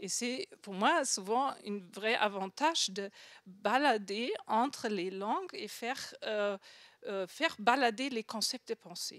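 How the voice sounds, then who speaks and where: In a dry, close sound with no echo, a woman speaks very slowly at a fairly high pitch, with lively intonation and big swings in loudness. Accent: strong non-native. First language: not French (speaking French). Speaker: design researcher, conference speaker. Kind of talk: conference talk. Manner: halting, many fillers and repetitions.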